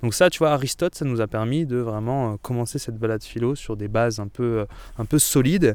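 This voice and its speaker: The recording is very clean with a silent background. A man with a normal speaking voice talks fairly quickly at a medium pitch with ordinary pitch variation. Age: 20s. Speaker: philosopher and mountain writer. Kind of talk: interview; lecture on a philosophy walk.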